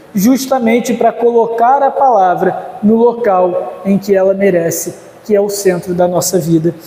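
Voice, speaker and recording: Audible room echo and noticeable background noise surround a man's speech. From Rio de Janeiro, Brazil. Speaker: pastor. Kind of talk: conference lecture. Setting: church conference. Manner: hesitant fillers.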